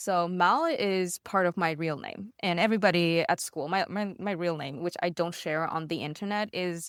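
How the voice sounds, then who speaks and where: A woman with a non-native accent is heard in a very clean recording with a silent background, the sound dry and close with no echo. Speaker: streamer. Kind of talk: interview. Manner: casual, with fillers.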